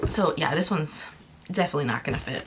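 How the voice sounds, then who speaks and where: Over noticeable background noise, a woman with a fairly low pitch talks with lively intonation. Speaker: craft vlogger. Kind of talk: casual show-and-tell vlog. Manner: fast; animated.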